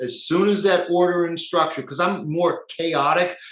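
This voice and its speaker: A man at a moderate pace, with audible room echo. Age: 50s. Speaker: natural health practitioner. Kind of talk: lecture. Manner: casual, filler-heavy.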